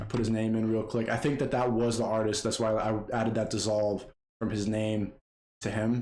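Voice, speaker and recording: A man speaks at medium pitch in a dark, mellow tone with monotone, flat intonation. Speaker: video editor / YouTuber. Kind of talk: tutorial. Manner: casual, fast-paced; loud.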